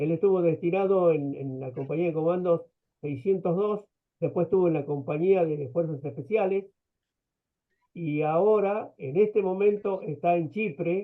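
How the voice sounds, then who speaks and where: A man with a high pitch talks at a moderate pace. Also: ordinary pitch variation. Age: 70s. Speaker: war veteran. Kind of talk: testimony.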